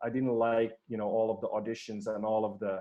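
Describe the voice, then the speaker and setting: A man speaks with a Swedish accent at a medium pitch. His pace is fairly quick. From Finland, Swedish-speaking. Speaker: performance coach. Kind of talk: podcast interview.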